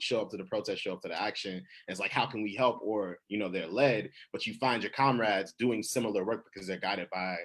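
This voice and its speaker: This man's intonation stays fairly even at a fairly low pitch. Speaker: poet. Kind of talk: panel discussion. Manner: fast; halting, many fillers.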